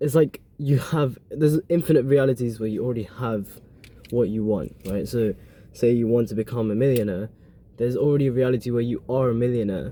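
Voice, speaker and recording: A man with a dark, mellow tone and medium pitch talks at a fairly quick pace, his pitch varying in an ordinary way. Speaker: podcast host. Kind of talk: casual monologue. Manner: fast.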